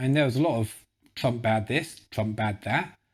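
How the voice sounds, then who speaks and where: A man with a British accent. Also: very clean recording, silent background. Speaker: vegan YouTuber, documentary reviewer. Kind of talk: casual video review monologue. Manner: enthusiastic.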